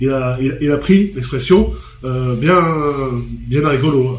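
A man speaks with a fairly high pitch and ordinary pitch variation. Noticeable background noise can be heard. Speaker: panelist. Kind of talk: radio discussion. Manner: halting.

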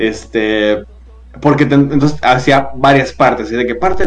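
A man speaks at a moderate pace and medium pitch, with music playing in the background. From Guadalajara, Jalisco, Mexico. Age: 20s. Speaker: TikToker and voice actor. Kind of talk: casual interview chat. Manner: animated.

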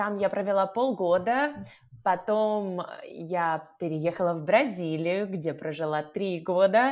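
A woman speaks at a medium pitch and a very slow pace. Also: ordinary pitch variation. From Russia. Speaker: language teacher. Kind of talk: casual chat.

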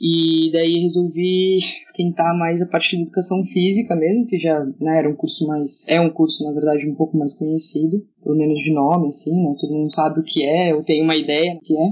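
A plain, everyday voice: a woman with a fairly low pitch, fairly even intonation and a fairly quick pace, with hardly any pauses. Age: 20s. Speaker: handball coach. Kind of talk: casual podcast interview.

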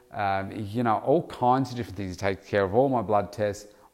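With an Australian accent, a man talks at a fairly quick pace, his medium pitch showing ordinary variation. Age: 50s. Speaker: weight loss coach. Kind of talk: solo podcast monologue.

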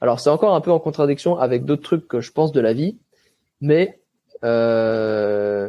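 Pausing long and often, a man with a medium pitch speaks at a fairly slow pace with lively intonation. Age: 20s. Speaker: athlete. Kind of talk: interview. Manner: casual.

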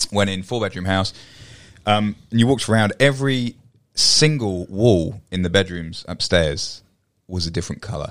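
A man with an ordinary speaking voice and a fairly low pitch talks with ordinary pitch variation on a very clean recording with a silent background. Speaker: marketing agency co-host. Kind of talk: casual podcast chat, advice. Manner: mock infomercial pitchman, rapid-fire sales patter.

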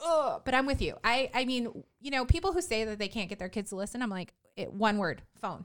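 A woman speaks at a fairly high pitch and a fairly quick pace, her animated tone marked by very wide pitch swings and hardly any pauses. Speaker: podcast host and mom business owner. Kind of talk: casual chat. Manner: animated, giggly.

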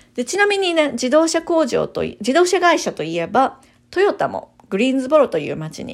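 Her pitch moves in very wide swings. The woman keeps a moderate pace. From Japan, Kyoto. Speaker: realtor and channel host. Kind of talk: informational monologue.

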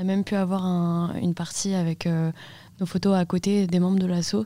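Captured in a very clean recording with a silent background, a woman speaks at a moderate pace in a medium-pitched voice with a dark, mellow tone. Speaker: student photo club member. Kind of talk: interview.

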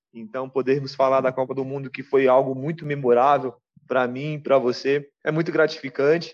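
Flat, monotone intonation runs through this man's medium-pitched voice at a moderate pace. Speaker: football fan guest. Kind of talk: casual chat.

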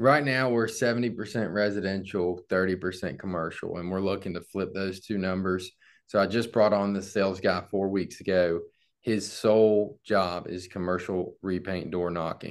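At a moderate pace, a man with an unremarkable speaking voice and a fairly low pitch talks with fairly even intonation against a quiet background. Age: 20s. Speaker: painting business owner. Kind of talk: casual business chat.

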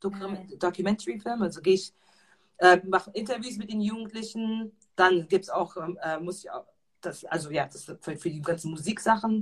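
A woman speaks at a moderate pace and medium pitch, sounding somewhat breathy. Her pitch varies normally, but her loudness swings a lot. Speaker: founder of youth creative workshops. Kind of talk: interview. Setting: live stream. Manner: halting, repeats words.

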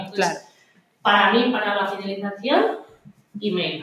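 A woman talks at a fairly quick pace. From Spain, outside Madrid. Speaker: marketing expert and gym co-owner. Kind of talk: casual interview chat. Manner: animated, laughs often.

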